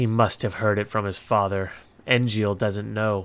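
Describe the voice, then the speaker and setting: A man puts on a character voice, fairly low in pitch and delivered in a monotone, flat way. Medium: read story. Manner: cold, cutting.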